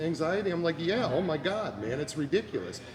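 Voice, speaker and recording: A man with an American accent talks at a fairly quick pace and a high pitch. His pitch variation is ordinary, and background noise is noticeable. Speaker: music show host and blogger. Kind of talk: casual interview chat. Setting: empty bar/restaurant on location. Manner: stuttering, halting.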